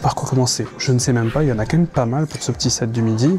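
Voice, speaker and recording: A man whispers with music playing in the background. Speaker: food and travel vlogger. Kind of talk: vlog food review. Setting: small restaurant counter. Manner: whispering; casual.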